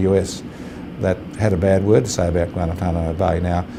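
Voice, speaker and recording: A man with an Australian accent talks at a fairly quick pace. His intonation stays fairly even over noticeable background noise. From Australia, rural New South Wales. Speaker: lawyer, law firm partner. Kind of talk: interview answer.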